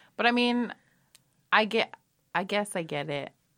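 A woman talks at a fairly slow pace with lively intonation and vocal fry. Her tone is bright and sharp, and the recording is very clean with a silent background. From Texas, Mexican-American. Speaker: burlesque performer. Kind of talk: casual chat. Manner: halting.

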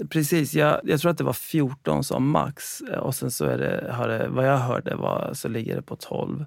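A man speaks at a fairly slow pace. He hardly pauses at all. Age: 40s. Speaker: founder and CEO of a food delivery company. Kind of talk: interview. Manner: halting.

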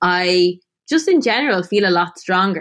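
Against a quiet background, a woman speaks at a medium pitch with an Irish accent. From Ireland, Tipperary. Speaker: food writer and former model. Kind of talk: interview.

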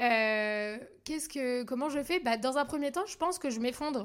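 A high-pitched woman's voice in a very clean recording with a silent background. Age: 20s. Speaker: podcast host. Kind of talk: casual solo monologue, answering listener questions. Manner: hesitant, stammering with many fillers.

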